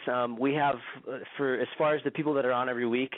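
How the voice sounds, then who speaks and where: A man with a medium pitch and an American accent. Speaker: radio show host and activist. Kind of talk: radio interview.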